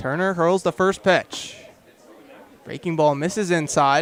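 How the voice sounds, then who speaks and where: Crowd noise runs in the background as a man talks at a high pitch. His pace is moderate, with ordinary pitch variation. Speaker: radio play-by-play announcer. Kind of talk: radio baseball play-by-play.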